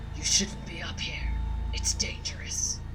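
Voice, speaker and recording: Whispering in a put-on character voice at a fairly slow pace, the speaker is heard over loud background noise. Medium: game stream.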